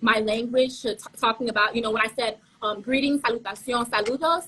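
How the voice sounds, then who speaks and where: Fairly quick, fairly even speech from a woman with a fairly high pitch. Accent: slight Caribbean. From Haitian family, South Florida. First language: Haitian Creole. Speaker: pageant contestant. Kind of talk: interview. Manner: fast, sometimes stumbling.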